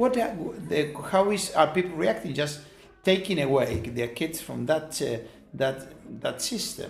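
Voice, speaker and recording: Amid noticeable background noise, a man with a Spanish accent talks fairly slowly at a fairly high pitch with very wide pitch swings. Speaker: professor and charity founder. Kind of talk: interview. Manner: halting.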